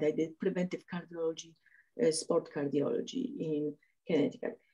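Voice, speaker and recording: A woman's dark, mellow tone in a Polish accent at a moderate pace. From Poland. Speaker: cardiologist and martial artist. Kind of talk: interview. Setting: podcast. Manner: halting, many fillers.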